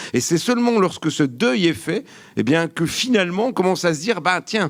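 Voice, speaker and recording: Talking at a fairly quick clip with lively intonation, a man speaks in a Vosges accent on a very clean recording with a silent background. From France, Vosges. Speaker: geography academic, panelist. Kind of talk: panel discussion. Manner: hesitant, many fillers.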